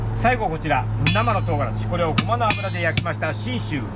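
Loud noise runs through the background. Over it, a male speaker talks at a moderate speed. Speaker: shop master selling blended seven-spice chili pepper. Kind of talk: traditional sales patter (kōjō) at a spice shop. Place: market. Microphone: camera far.

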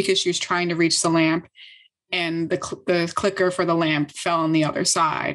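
Over a quiet background, a woman with a fairly low pitch talks at a moderate pace in an ordinary speaking voice. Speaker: tech startup co-founder; guest. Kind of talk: interview conversation. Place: home room. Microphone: video call.

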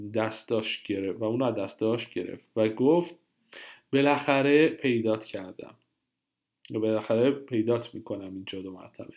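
The recording is very clean, with a silent background. A man with an ordinary speaking voice talks at a medium pitch with ordinary pitch variation. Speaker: Italian language teacher. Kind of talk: tutorial.

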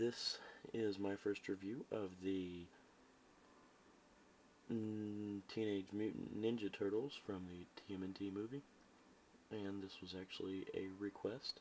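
The speech is quiet and fairly slow. Long pauses come often. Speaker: toy reviewer. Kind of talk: casual talk to camera. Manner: quiet, low volume.

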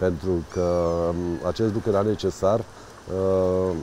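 With light background noise and a dry sound with no echo, a man talks in a very deep, low voice. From Romania, Buzău county; Romania. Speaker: county council president and candidate; county council president, candidate. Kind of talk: interview. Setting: outdoors by a riverside promenade under construction. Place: waterside.

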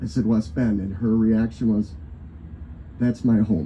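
With an American accent, a man talks at a fairly low pitch and a fairly slow pace, his pitch varying in an ordinary way over light background noise. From Wisconsin, Johnson Creek; Wisconsin. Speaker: pastor. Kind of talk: invocation sermon. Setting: live event with audience.

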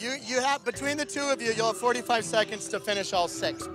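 With clear music in the background, a man talks at a very fast pace in an extremely high pitch, his energetic, upbeat tone dry with no echo and his pitch varying in an ordinary way. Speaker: game show host. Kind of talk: game show hosting. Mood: playful, teasing. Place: boat. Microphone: lapel.

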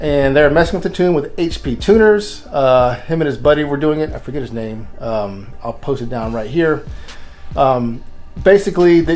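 Faint music sits in the background. Over it, a man talks at a moderate pace. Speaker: car channel host. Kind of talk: casual vlog chat. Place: garage. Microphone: phone near.

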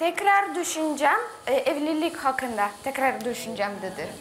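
A woman with a Russian accent, high-pitched with very wide pitch swings, over light background noise. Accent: Russian-accented Turkish. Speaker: reality show contestant; guest. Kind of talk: reality TV talk. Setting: studio. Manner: halting. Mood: tense, hesitant. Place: studio. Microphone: lapel.

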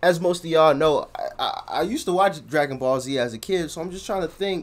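The intonation of this man is lively. He talks at a fairly quick pace. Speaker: reaction video creator. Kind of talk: casual reaction commentary. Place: home room. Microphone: earbuds.

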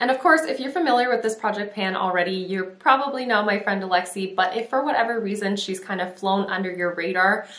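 In a room with audible echo, a woman talks at a very fast pace with hardly any pauses. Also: ordinary pitch variation. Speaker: beauty vlogger. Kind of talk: casual vlog chat. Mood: warm and upbeat. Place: home room.

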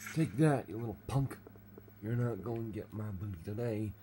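Ordinary pitch variation runs through the clip. It is a natural reading voice.

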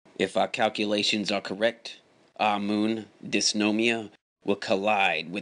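A man puts on a character voice, fairly low in pitch and fairly slow. The background is quiet. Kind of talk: mock-serious broadcast announcement. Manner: grave and formal, then sarcastic.

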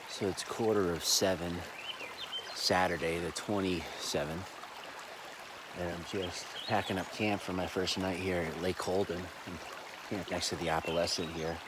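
Loud background noise accompanies a man in a dry recording with no echo. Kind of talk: casual vlog chat. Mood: puzzled, recounting events. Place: waterside. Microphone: phone near.

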